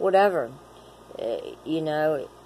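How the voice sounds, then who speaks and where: Noticeable background noise sits under a woman's voice. She speaks very slowly with ordinary pitch variation. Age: 40s. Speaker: vlogger in addiction recovery. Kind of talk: personal vlog monologue. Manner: rambling, halting with filler words.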